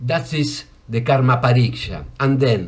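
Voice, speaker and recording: Somewhat breathy and very slow, a man with a Spanish accent speaks amid audible room echo. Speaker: yoga and ayurveda teacher. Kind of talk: lecture. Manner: halting.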